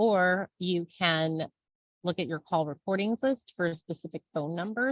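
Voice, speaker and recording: The speaker is a woman. She uses lively intonation. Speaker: software trainer. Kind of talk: webinar tutorial. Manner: fast; casual.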